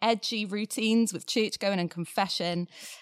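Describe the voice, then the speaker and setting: A woman's plain, everyday voice at medium pitch, with ordinary pitch variation, a moderate pace, and a dry, close sound with no echo. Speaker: podcast co-host. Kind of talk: interview.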